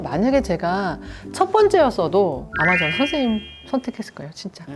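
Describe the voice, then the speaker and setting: A woman talks at a moderate pace as music sounds in the background. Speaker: makeup artist. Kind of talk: casual conversation.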